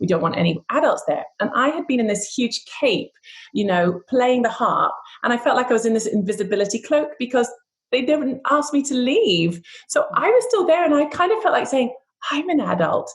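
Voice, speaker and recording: A woman talks at a moderate pace in a high pitch. Her pitch swings very widely. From Scotland, Edinburgh. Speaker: harpist. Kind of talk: interview.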